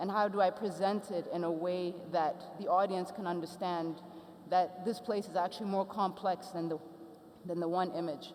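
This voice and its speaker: Here a woman with an Ethiopian accent talks at a medium pitch and a moderate pace. Her intonation is monotone and flat. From Ethiopia, raised abroad from age five. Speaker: photographer and artist. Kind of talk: panel talk.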